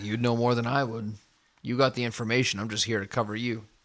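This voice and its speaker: A put-on character voice rattles off lines at a very fast pace, raspy and flat in a monotone. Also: man, medium pitch for a man. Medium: actual play.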